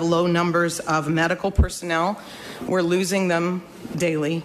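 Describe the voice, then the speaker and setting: Over noticeable background noise, a woman with an American accent speaks at a fairly low pitch in a monotone, flat intonation. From New York State. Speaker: parent. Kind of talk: public hearing testimony. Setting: legislative hearing room.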